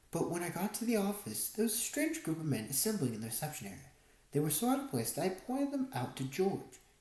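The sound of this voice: The recording carries an unforced reading voice.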